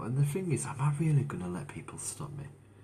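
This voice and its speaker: A man's somewhat breathy voice, dark and mellow in tone, with lively intonation and audible room echo. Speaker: motivational speaker sharing his mental health story. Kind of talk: live stream monologue. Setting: Facebook live stream. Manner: slow, deliberate.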